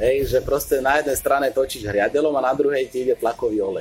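The pace is very fast. A man talks with lively intonation. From western Slovakia (Hlohovec area). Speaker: engineering PhD student. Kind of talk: casual interview.

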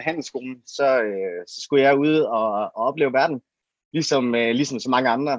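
This man's voice sits fairly high in pitch, with ordinary pitch variation. He speaks at a moderate pace. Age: 30s. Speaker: entrepreneur, payments company CEO. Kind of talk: interview. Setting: video livestream from a living room. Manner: halting, many fillers.

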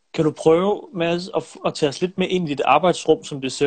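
At a moderate pace, a man with a fairly high voice talks with ordinary pitch variation in a dry, close sound with no echo. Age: 20s. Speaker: filmmaker and live-stream host. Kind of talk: interview. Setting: Instagram live stream. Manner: hesitant with frequent fillers.

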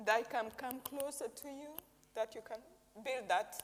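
A moderate pace in a Rwandan accent, with noticeable background noise. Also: woman. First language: Kinyarwanda. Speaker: interpreter for visiting preacher. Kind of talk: interpreted sermon. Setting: church service.

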